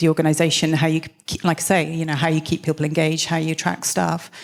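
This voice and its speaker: The speaker talks very fast with a slight Welsh accent. The intonation stays monotone and flat. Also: woman. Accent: slight Welsh lilt. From South Wales. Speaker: business consultant, former tech executive. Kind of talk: panel conversation on stage.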